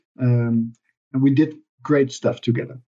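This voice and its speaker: This is a man speaking. He has a Dutch accent. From Netherlands. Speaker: sustainability finance expert. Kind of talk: interview.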